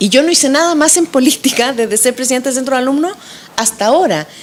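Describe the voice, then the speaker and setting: Lively in intonation, a woman speaks over noticeable background noise. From Chile. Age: 40s. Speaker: political candidate. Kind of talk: interview.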